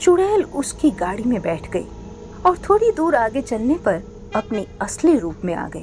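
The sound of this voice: Faint background noise sits behind a woman talking at a fairly slow pace. Her fairly high, slightly mellow voice moves in big pitch swings.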